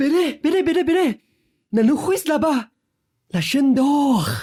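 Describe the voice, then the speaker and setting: The voice is a high-pitched put-on character voice. It moves at a moderate pace. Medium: audio drama.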